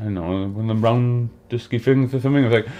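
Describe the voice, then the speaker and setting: A man with an English accent talks at a very fast pace, his medium pitch showing ordinary pitch variation. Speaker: music reaction video host. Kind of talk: casual chat. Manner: halting.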